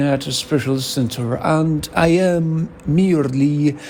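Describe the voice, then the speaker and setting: Speaking very slowly in a non-native accent, a man uses a fairly high pitch and ordinary pitch variation. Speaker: podcaster. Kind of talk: solo podcast monologue. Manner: halting, searching for words.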